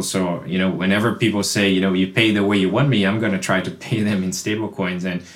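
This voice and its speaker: The speech comes at a very fast pace in a Portuguese accent. Noticeable background noise runs underneath. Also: man. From Brazil. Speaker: crypto product executive. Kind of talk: casual panel discussion. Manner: halting, with frequent repetitions.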